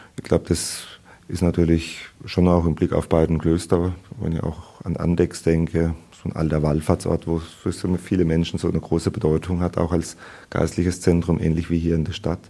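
A man with a very deep, low pitch speaks in a dark, mellow tone and a flat monotone. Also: moderate pace. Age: 50s. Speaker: abbot. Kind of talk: interview excerpts.

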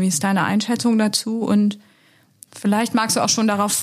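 A woman's plain, everyday voice with fairly even intonation. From Lower Saxony. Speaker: podcast host and member of parliament. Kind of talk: podcast interview. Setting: studio in party office.

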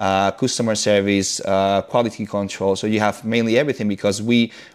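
A man speaks with a Spanish accent. His pitch sits fairly low and his intonation stays fairly even. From Spain, Madrid. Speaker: leather goods brand founder. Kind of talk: interview. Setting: remote call. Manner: halting, many fillers.

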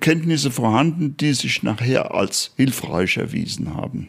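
Lively intonation marks a man's fairly high-pitched voice, delivered at a very slow pace. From Germany, Bad Orb (Hesse, Spessart). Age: 70s. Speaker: night watchman tour guide. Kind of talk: interview. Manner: hesitant with frequent fillers.

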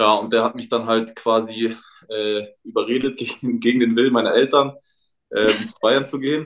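This is a plain, everyday voice. A man speaks at medium pitch and a moderate pace. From Munich, Bavaria. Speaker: professional footballer. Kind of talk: casual chat. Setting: remote call from home.

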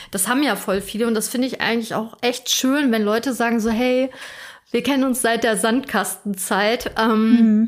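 A woman with a normal speaking voice and fairly high pitch speaks at a moderate pace with fairly even intonation on a very clean recording with a silent background. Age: 30s. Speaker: podcast co-host. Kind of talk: casual chat.

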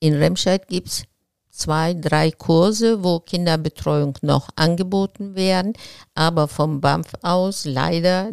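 A woman with a Turkish accent, fairly low in pitch with ordinary pitch variation, at a very slow pace, in a very clean, dry and close recording with no echo and a silent background. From Turkey. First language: Turkish (speaking German). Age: 70s. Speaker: local politician, retired teacher. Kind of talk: interview.

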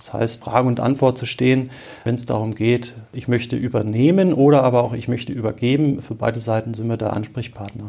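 Here is a man's voice at a medium pitch. His intonation stays fairly even. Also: fairly quick pace. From Marburg, Hesse, Germany. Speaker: bank advisor. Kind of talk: expert interview. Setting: in person, Marburg. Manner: hesitant with filler sounds.

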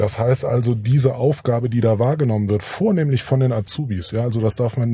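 Ordinary pitch variation from a man, his voice medium in pitch and his pace fairly quick. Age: 40s. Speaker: association board member, IT entrepreneur. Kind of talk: interview. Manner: hesitant with many filler sounds.

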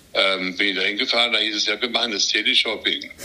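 Noticeable background noise runs beneath a man who talks at a fairly quick pace. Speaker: retired TV sports reporter and boxing commentator. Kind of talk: casual chat. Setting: remote call.

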